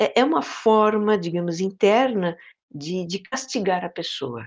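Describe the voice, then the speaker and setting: A woman speaks at a very slow pace, her medium-pitched voice carrying lively intonation. The background is quiet. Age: 50s. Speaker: podcaster on mindfulness and inner life. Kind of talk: interview conversation. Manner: hesitant, many fillers.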